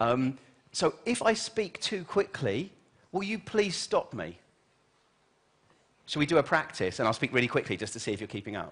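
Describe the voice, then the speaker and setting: In a British accent, a man talks at a fairly high pitch with vocal fry and an animated tone. His pitch swings very widely, broken by long, frequent pauses. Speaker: keynote speaker, journalist and futurist. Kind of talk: conference keynote talk. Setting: stage with audience. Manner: fast.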